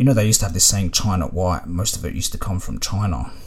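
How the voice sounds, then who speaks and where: Very fast speech from a man in an Australian accent. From Australia, Melbourne (Ringwood). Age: 30s. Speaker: storyteller guest. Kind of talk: casual monologue.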